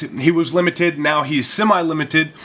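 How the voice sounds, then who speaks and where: A man against noticeable background noise. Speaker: card game content creator. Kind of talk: casual talk to camera.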